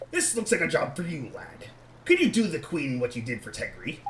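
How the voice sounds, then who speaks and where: A man does a high-pitched, put-on character voice at a fairly quick pace. Clear background noise is present. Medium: game stream. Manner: breezy, cheeky.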